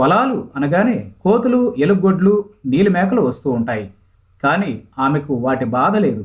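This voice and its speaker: A somewhat breathy man's voice, fairly high in pitch, with very wide pitch swings. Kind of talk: news feature narration.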